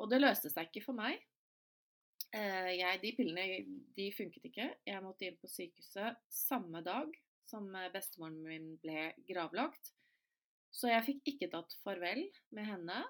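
A woman speaks in a medium pitch at a fairly slow pace. She leaves long, frequent pauses. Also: lively intonation. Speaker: podcast host. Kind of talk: solo podcast monologue.

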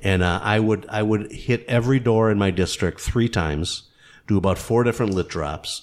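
A man with an American accent speaks at a moderate pace in a plain, everyday voice. His pitch is fairly low, with ordinary variation and very even loudness. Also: very clean recording, silent background. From Kenosha, Wisconsin. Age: 60s. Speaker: funeral home owner and former city councilman. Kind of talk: casual interview.

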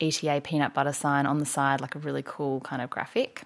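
A woman with an Australian accent speaks at a fairly quick pace in a very deep, low voice, her intonation flat and monotone. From Australia (Victoria coast). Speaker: doula and founder of a women's community space. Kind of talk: casual interview chat.

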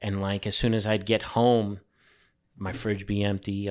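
With a New York accent, a man speaks at a moderate pace in a fairly low, monotone voice with flat intonation over a quiet background. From New York City (Brooklyn, Staten Island). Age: 40s. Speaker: graffiti artist. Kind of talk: casual interview. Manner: halting, many repetitions.

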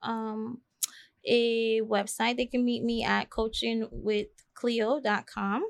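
A woman talks at a fairly high pitch against a quiet background. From US Virgin Islands. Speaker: life coach. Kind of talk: podcast interview. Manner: hesitant, many ums.

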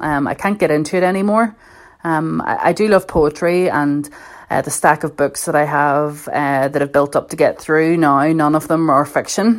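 In a Belfast accent, a woman speaks with a very deep, low voice at a moderate pace. Her pitch varies in an ordinary way. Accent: Belfast Northern Irish. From Northern Ireland, North Belfast. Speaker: journalist. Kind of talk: personal reflection talk.

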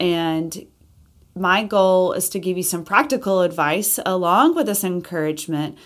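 Recorded very cleanly with a silent background, a woman with an Alabama accent speaks at a moderate pace and medium pitch. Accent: Southern US (Alabama). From US South, Alabama. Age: 40s. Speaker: podcast host, interior designer and entrepreneur. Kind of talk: casual monologue podcast intro.

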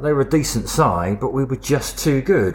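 Lively intonation from a man at a medium pitch and moderate pace, with noticeable background noise. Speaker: podcast co-host. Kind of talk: casual chat.

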